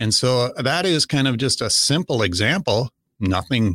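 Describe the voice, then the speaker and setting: On a very clean recording with a silent background, a man with an American accent and a plain, everyday voice talks at a fairly slow pace with ordinary pitch variation. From US Upper Midwest, southwestern Minnesota. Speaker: non-practicing attorney, estate planning expert. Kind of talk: interview, explaining legal topics. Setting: studio.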